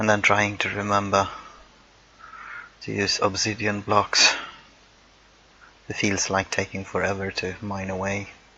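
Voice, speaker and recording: Against noticeable background noise, someone with a non-native accent speaks fairly slowly in a monotone, flat intonation, with long, frequent pauses. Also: man. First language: not English. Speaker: gaming YouTuber. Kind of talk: timelapse build commentary. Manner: casual, hesitant with fillers.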